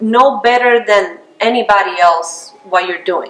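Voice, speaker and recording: High-pitched woman with a non-native accent over noticeable background noise. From outside the US. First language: not English. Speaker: realtor. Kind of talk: interview.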